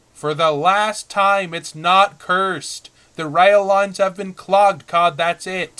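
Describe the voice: A man's cartoonish character voice, high-pitched and at a fairly slow pace.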